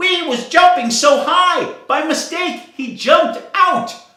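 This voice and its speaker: This put-on character voice is extremely high-pitched and fairly slow, with a slight echo. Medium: read story.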